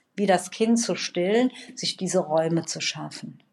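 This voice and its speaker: This woman has an unremarkable speaking voice, pitched in the medium range. Her pace is moderate and her pitch varies in an ordinary way. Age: 50s. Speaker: trauma therapist. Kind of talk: casual chat.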